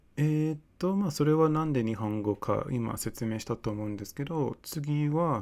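Lively intonation at a moderate pace with a non-native accent, hardly any pauses, and a very clean recording over a silent background. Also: man, fairly high pitch for a man. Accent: non-native Japanese. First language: English (speaking Japanese). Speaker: podcast host. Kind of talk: solo monologue. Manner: halting.

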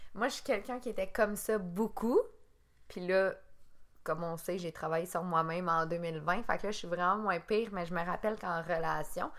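A woman at medium pitch with ordinary pitch variation talks at a moderate pace on a very clean recording with a silent background. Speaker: podcast co-host. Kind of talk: casual chat.

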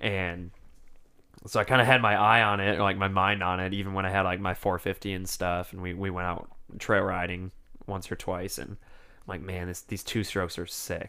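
This man has an American accent and a very deep, low pitch with a bright, sharp tone. He talks at a moderate pace in a flat monotone. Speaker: motorcycle vlogger. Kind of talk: casual chat.

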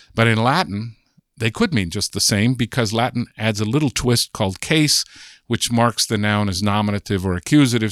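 A man with an American accent speaks at a fairly quick pace in an ordinary speaking voice, his fairly low pitch showing ordinary variation, on a very clean recording with a silent background and a dry, close sound with no echo. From Southern California. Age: 60s. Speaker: linguist. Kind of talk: interview. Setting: in person.

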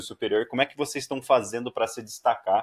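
With ordinary pitch variation, a man talks at a fairly quick pace and medium pitch. The recording is very clean, with a silent background. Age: 30s. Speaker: podcast host. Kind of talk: casual interview. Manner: talkative.

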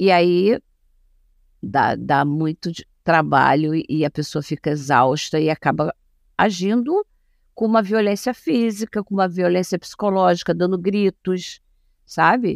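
A woman with a fairly low pitch speaks at a fairly slow pace with long, frequent pauses and ordinary pitch variation, the recording very clean with a silent background and a dry, close sound with no echo. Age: 60s. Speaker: gerontologist and family caregiver. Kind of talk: interview.

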